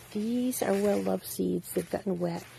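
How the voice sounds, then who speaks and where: A woman with an ordinary speaking voice talks at a moderate pace in a fairly low pitch. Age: 60s. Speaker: home gardener. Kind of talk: gardening tutorial. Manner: casual, conversational with fillers.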